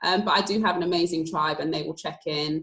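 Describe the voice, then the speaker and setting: A woman with a southern English accent, fairly quick in pace and fairly even in intonation. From London, England (northwest London). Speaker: athlete. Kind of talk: panel discussion.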